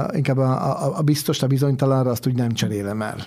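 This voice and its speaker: This man talks at a fairly quick pace with a fairly high pitch. He has an ordinary speaking voice. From Hungary, Swabian descent. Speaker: chef. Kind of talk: interview.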